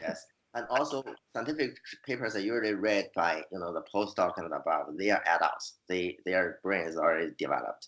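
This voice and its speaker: With a Chinese accent, a man talks at a fairly quick pace in a fairly low pitch, his intonation lively. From China. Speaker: fantasy author and scientist. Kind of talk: interview. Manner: halting, many repeated words.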